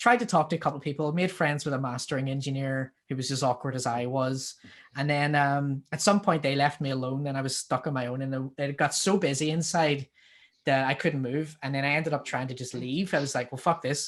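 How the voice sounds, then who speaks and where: A man with a Northern Irish accent, fairly high in pitch, his intonation fairly even, on a very clean recording with a silent background. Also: fairly quick pace. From Northern Ireland, Belfast. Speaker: musician. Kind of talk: casual chat.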